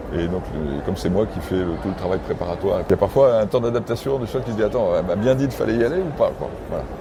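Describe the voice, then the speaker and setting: A man talks at a very fast pace with lively intonation and hardly any pauses. Noticeable background noise runs behind him. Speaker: horse breeder. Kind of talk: interview. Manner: halting, many fillers.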